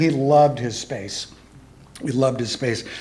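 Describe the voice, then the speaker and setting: A man is talking while noticeable noise sounds in the background. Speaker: eulogy speaker, friend of the deceased. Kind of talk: eulogy at memorial service. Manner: fast.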